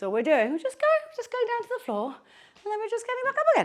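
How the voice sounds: This put-on character voice is squeaky and rattles along at a very fast pace. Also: woman, extremely high pitch for a woman.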